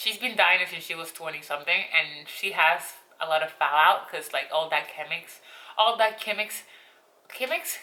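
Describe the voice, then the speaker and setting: Noticeable background noise sits under a woman with a Spanish accent. Her fairly low voice moves at a moderate pace with ordinary pitch variation. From Colombia, coastal region. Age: 20s. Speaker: beauty vlogger. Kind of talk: casual vlog talk. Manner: talkative, rambling.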